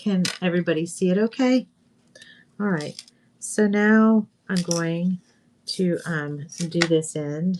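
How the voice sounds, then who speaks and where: With an American accent, a woman talks at a very slow pace with ordinary pitch variation and long, frequent pauses. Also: fairly low pitch for a woman. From US South, Northwest Florida. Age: 60s. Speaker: craft video host. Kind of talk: craft tutorial livestream. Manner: casual, chatty.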